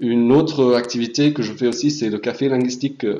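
The man's pace is fairly slow. His voice sits at a medium pitch. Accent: German. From Hamburg, Germany. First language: German (speaking French). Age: young. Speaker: European volunteer. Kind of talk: presentation.

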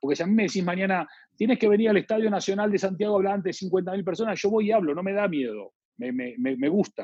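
High-pitched, a man talks at a very fast pace. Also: ordinary pitch variation. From Argentina. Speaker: branding consultant and author. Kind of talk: interview.

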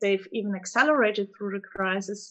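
The speaker has a German accent and a moderate pace. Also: woman. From Germany. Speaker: fund manager. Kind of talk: casual chat. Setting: phone call.

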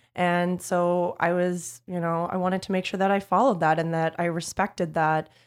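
In a very clean recording with a silent background, a woman uses a normal speaking voice, fairly low in pitch, at a moderate pace with fairly even intonation and hardly any pauses. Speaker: PR agency owner. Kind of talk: interview, casual conversation.

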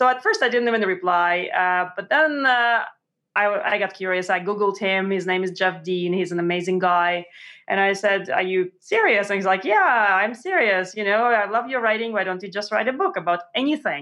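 A bright, sharp tone in a Russian accent, at a moderate pace with ordinary pitch variation. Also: woman, medium pitch for a woman. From Montreal, Canada (born in Russia). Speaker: science journalist and author. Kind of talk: interview. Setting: remote call.

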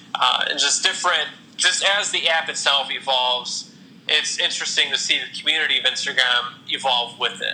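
With noticeable background noise behind him, a man with a Midwestern American accent speaks at a moderate pace and fairly high pitch, with ordinary pitch variation. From Ohio, Toledo area. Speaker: Instagram photographer. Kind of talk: interview. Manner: halting, with many repeated words and fillers.

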